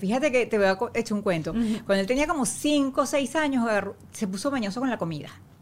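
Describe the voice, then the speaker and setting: This woman's pitch swings very widely. Her pace stays moderate. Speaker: actress. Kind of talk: casual chat.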